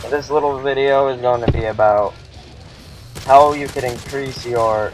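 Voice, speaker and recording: Noticeable background noise sits behind a man at medium pitch. He talks at a fairly slow pace. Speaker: gaming youtuber. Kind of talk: gameplay commentary. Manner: less lively than usual; casual, filler-heavy.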